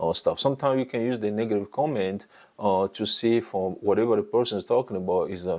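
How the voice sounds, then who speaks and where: A man's fairly low, dark, mellow voice with a non-native accent at a very fast pace. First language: French and an African language. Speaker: YouTube content creation coach. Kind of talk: tutorial. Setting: talking head video. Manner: hesitant, many fillers.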